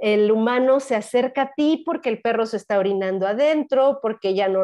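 The woman here speaks at a fairly slow pace with ordinary pitch variation. Her background is quiet. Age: 50s. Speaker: spiritual guide and dancer; interview guest. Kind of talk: interview conversation; interview answer. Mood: warm, animated. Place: home room. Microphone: lapel.

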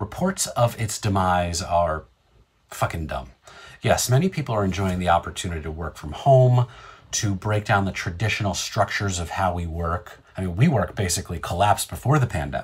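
A man talks at a fairly quick pace, his pitch very deep and low. His voice is somewhat breathy, with ordinary pitch variation. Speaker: online show host. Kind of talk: opinion commentary. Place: home room. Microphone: earbuds.

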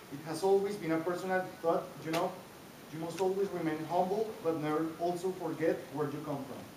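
Over noticeable background noise and audible room echo, a man talks at a fairly quick pace. His voice is high, with fairly even intonation. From Colombia. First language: Spanish. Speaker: master's graduate. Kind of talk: graduation ceremony speech. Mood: grateful, warm. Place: hall. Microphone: camera far.

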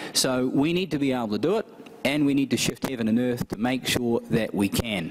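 A man's voice with ordinary pitch variation amid noticeable background noise. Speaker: event host introducing a guest. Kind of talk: welcome speech. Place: hall. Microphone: podium.

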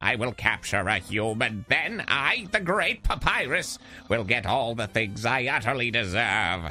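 Putting on a cartoonish character voice, a man talks at a fairly slow pace with very wide pitch swings while faint music plays in the background. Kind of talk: comic overacting. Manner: pompous, self-important.

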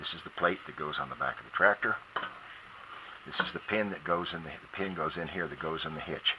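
Fairly quick talking from a man, with noticeable noise behind. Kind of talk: tutorial. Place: garden.

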